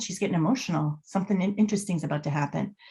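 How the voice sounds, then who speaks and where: The voice belongs to a woman with an American accent. It sounds somewhat breathy. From Boston area, US. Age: 50s. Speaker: body language expert and author. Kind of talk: podcast interview.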